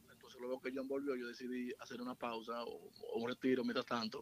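Speaking at a moderate pace, a man has an ordinary speaking voice and ordinary pitch variation. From Santiago, Dominican Republic. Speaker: musician. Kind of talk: casual chat.

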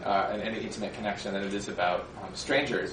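A man talks at a very fast pace. Music plays in the background, and there is audible room echo. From US Midwest, rural Minnesota. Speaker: author. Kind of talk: public talk with slides. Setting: lecture hall with audience.

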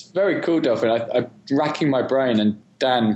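A man with an English accent. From England. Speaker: podcast co-host. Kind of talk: interview.

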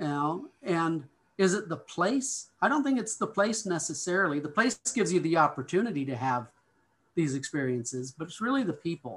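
With an American accent, a man speaks at a moderate pace in a high voice that swings very widely in pitch. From Montana, US. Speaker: childhood friend of the host. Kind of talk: casual chat.

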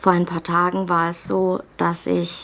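The recording of this woman is very clean, with a silent background behind her. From Baden-Württemberg, Germany. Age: 30s. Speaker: pharmacy employee, vaccine injury testimony. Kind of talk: testimony.

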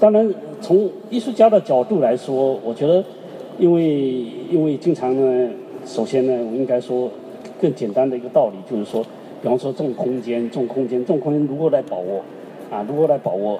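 Pausing long and often, a man speaks at a fairly slow pace and medium pitch with lively intonation over noticeable background noise. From southeast China. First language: Chinese (speaking French). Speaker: artist. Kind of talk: panel discussion with interpreter.

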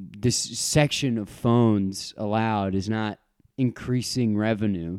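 A man speaks at a fairly slow pace in a fairly low voice, with ordinary variation in his pitch. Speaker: podcast co-host. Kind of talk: casual chat.

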